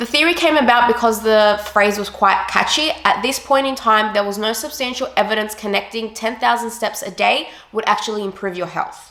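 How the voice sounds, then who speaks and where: Talking at a fairly quick pace with hardly any pauses, a woman speaks at a fairly high pitch over noticeable background noise. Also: ordinary pitch variation. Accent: Australian. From Australia, Sydney. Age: 20s. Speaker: fitness vlogger. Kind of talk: casual explainer vlog.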